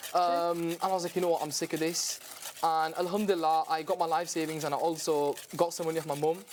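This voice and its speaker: Against noticeable background noise, a man speaks very fast in a high pitch. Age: 20s. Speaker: young baker and dessert business owner. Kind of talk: casual TV cooking demonstration interview. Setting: TV studio kitchen. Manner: animated.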